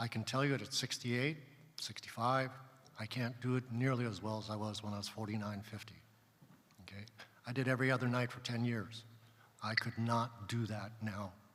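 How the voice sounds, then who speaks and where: Amid audible room echo, a man of medium pitch and fairly even intonation talks at a fairly quick pace with long, frequent pauses. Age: 60s. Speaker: pediatric surgeon, panelist. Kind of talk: panel talk at a conference. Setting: stage with audience.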